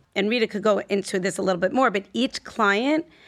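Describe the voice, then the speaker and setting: In a plain, everyday voice, the speaker moves at a moderate pace with ordinary pitch variation on a very clean recording with a silent background. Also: woman. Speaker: healthcare business development director. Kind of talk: interview.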